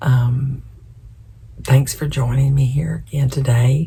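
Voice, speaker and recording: A woman speaks in a very deep, low pitch with a dark, mellow tone. Her voice is somewhat breathy and her intonation fairly even. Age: 70s. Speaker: lifestyle vlogger. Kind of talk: casual chat. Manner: casual, with fillers.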